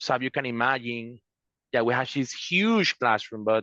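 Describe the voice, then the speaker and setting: Bright, sharp tone at a moderate pace, dry and close with no echo, over a quiet background. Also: man. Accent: Spanish. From Venezuela. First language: Spanish. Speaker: law student, attorney. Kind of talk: panel discussion. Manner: halting.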